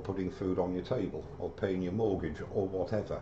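A man speaks with a British accent at a moderate pace. Light background noise is audible. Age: 60s. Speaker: woodturner. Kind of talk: live-streamed woodturning tutorial. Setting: live stream video. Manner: chatty, friendly. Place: workshop. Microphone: webcam.

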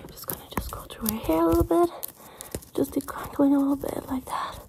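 Background noise is clearly audible. The speaker is a woman. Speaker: ASMR creator. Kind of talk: fast chaotic ASMR personal attention role-play. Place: home room. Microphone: phone near.

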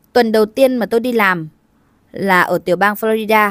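In a very clean recording with a silent background and a dry, close sound with no echo, a woman with a plain, everyday voice speaks at a fairly quick pace and a fairly high pitch. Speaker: video narrator. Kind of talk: scripted narration. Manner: formal.

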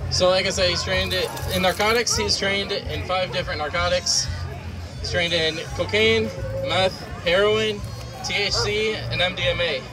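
A man talks at a moderate speed while clear music plays behind him. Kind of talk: public demonstration commentary. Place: open country.

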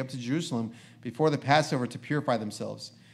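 A man's fairly high voice at a very fast pace. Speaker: preacher. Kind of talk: reading aloud. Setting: church. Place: church.

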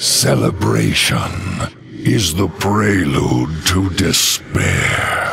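Putting on a character voice, a man speaks at a very slow pace with an extremely low pitch, vocal fry, big pitch swings, and a fairly bright tone.

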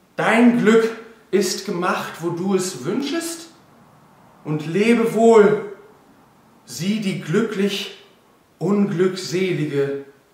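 A man uses a put-on character voice, high-pitched and slightly mellow, at a very slow pace with strong room echo. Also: lively intonation.

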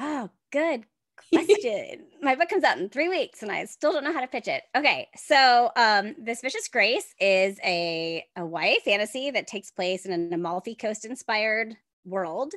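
Over a quiet background, a woman with a fairly high pitch speaks with very wide pitch swings. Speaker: author. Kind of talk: podcast interview answer. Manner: fast. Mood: upbeat, enthusiastic. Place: home room. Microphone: earbuds.

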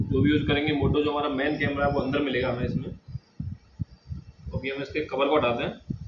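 A man keeps a moderate pace as loud noise fills the background. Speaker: vlogger. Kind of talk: unboxing tutorial. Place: home room. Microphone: camera far.

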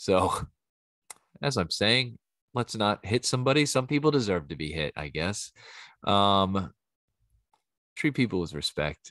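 A man with a Philadelphia accent speaks at a fairly slow pace and a fairly low pitch, with long, frequent pauses against a quiet background. His tone is animated, and his pitch swings very widely. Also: dry sound with no echo. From Philadelphia, US. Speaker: podcast host and bartender; podcast host. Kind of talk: casual solo monologue; casual podcast monologue. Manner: animated, rambling with fillers. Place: home room. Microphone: studio mic.

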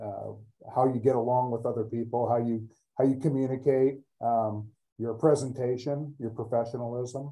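With an American accent, this voice has a dark, mellow tone and fairly even intonation at a fairly quick pace. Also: man. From US Pacific Northwest. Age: 50s. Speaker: finance executive. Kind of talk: webinar panel discussion. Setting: video call. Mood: friendly, calm. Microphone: video call.

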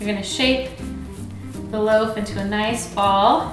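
A woman is heard with audible room echo and clear music in the background. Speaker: presenter. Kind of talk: tutorial. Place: kitchen.

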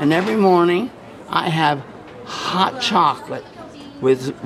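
There is noticeable background noise as a man talks at a fairly slow pace. His fairly high pitch shows ordinary variation. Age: 70s. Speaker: street videographer interviewing people. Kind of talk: casual chat. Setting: outdoors. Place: hall.

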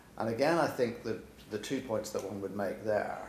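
A man talks at a moderate pace with audible room echo. Light background noise is present. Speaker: speaker. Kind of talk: panel discussion answer. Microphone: podium.

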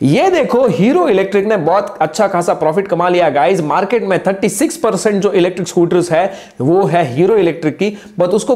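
This man's intonation is lively. He talks at a moderate pace. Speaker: tech explainer youtuber. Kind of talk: product review commentary. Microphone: lapel.

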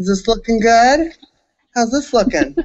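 A man with an American accent talks, and the background is quiet. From Southern California. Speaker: comedian and recap co-host; comedian, recap co-host. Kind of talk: casual chat. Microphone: video call.

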